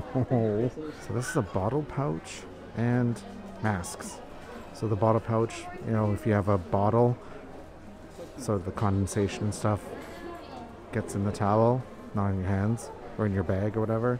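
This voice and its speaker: A man's fairly low-pitched voice with fairly even intonation, at a moderate pace with long, frequent pauses, dry with no echo, over clear background music. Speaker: shopping vlogger. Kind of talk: casual vlog chat. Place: shop. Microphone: phone near.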